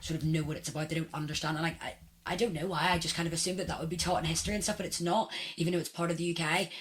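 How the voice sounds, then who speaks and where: A woman with a fairly low pitch at a very fast pace. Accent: Northern Irish. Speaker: podcast host. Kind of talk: interview.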